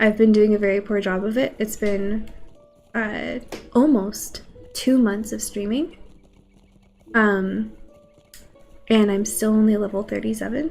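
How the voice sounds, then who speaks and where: Music in the background behind a woman with fairly high pitch at a moderate pace. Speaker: video game streamer. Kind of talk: casual chat. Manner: casual with fillers.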